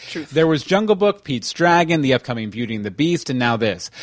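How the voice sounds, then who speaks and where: A man with an American accent, a normal speaking voice, fairly high pitch and lively intonation. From Texas. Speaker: podcast host. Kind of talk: casual chat. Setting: live online stream.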